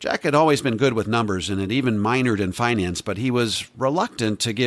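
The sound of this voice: The delivery is an unforced reading voice. Pitch varies in an ordinary way.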